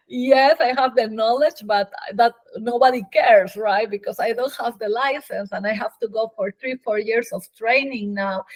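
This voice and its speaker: With a Peruvian accent, a woman speaks at a moderate pace in a fairly high pitch with ordinary pitch variation, the sound dry and close with no echo. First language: Spanish. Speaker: physician. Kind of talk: interview.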